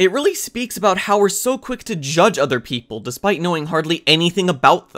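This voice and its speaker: In a very clean recording with a silent background, a man talks at a fairly quick pace, his high pitch making very wide swings. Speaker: anime reviewer. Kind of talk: video essay narration. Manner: mumbling, just woke up.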